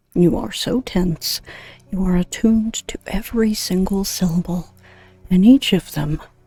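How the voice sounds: This is a natural reading voice. It reads the words aloud.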